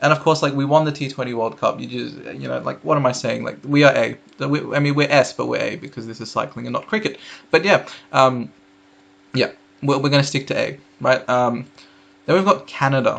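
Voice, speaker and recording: Talking at a fairly quick pace, a man with an Australian accent leaves long, frequent pauses. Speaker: cycling YouTuber. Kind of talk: casual commentary video. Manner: casual, hesitant with fillers.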